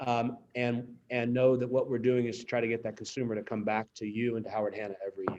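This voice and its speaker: A man's very fast, medium-pitched speech in an American accent, with hardly any pauses. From Pittsburgh, Pennsylvania. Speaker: real estate company executive. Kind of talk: town hall speech. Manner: animated.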